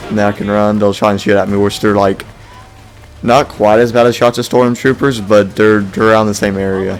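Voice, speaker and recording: Over noticeable background noise, a man speaks in a fairly low pitch with fairly even intonation. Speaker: video game reviewer. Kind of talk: gameplay commentary. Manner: casual, rambling.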